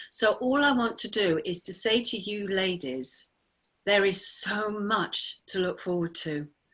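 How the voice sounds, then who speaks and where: A woman's medium-pitched voice with lively intonation, on a very clean recording with a silent background. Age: 60s. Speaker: menopause support advocate and author. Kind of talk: personal testimony in a group video introduction. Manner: animated, enthusiastic.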